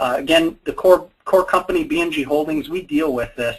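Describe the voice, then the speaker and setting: Speaking at a moderate pace with lively intonation, a man talks in an American accent. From US Upper Midwest, Fargo, North Dakota. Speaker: software company co-owner presenting. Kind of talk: webinar presentation. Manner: casual, many fillers and repetitions.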